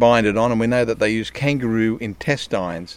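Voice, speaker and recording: An Australian accent marks this man's medium-pitched speech. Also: very clean recording, silent background. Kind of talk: casual interview. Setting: outdoors by a river.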